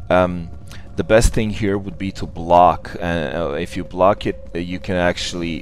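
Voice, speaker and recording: A man with a non-native accent speaks at a very deep, low pitch with ordinary pitch variation. He goes at a fairly slow pace over music in the background. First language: not English. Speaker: gamer. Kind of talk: gameplay commentary.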